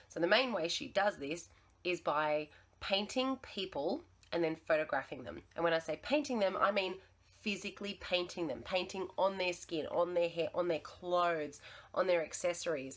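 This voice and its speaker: A woman with an Australian accent speaks in a fairly low voice with lively intonation at a moderate pace. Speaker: teacher sharing art lessons. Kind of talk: tutorial.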